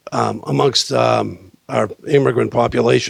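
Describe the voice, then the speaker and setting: A man speaks with a Boston accent. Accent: Boston-area New England. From Salem, Massachusetts. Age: 60s. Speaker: city council candidate, retired police officer. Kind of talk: candidate forum speech.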